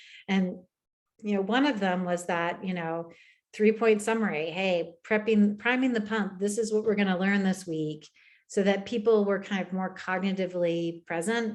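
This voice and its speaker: At a moderate pace, a woman with a plain, everyday voice and an American accent speaks with fairly even intonation. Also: medium pitch for a woman. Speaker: education technology presenter. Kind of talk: webinar Q&A.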